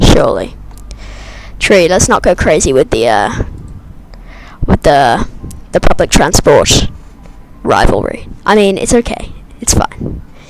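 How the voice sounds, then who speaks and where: The speech moves at a fairly slow pace with long, frequent pauses over noticeable background noise. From Britain. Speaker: flight sim streamer. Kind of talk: live stream commentary. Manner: casual, chatty.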